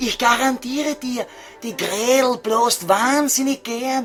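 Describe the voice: A man's put-on character voice with a Viennese accent, extremely high pitch, a fairly bright tone, ordinary pitch variation and a slow pace, with faint music in the background.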